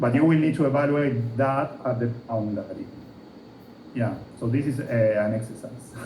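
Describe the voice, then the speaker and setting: With audible room echo and noticeable background noise, a man speaks at a moderate pace, leaving long, frequent pauses. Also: medium pitch for a man, fairly even intonation. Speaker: physics lecturer. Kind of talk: lecture.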